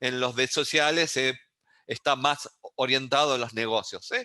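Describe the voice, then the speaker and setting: The man's tone is bright and sharp. He talks at a fairly slow pace. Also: quiet background. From Uruguay. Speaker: university lecturer in data science. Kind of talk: online lecture.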